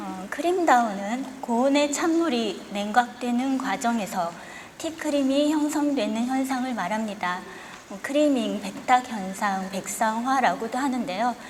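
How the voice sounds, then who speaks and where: A woman with a high pitch and lively intonation talks at a fairly slow pace, her loudness swinging widely, amid noticeable background noise and audible room echo. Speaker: tea science lecturer. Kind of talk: lecture. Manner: formal.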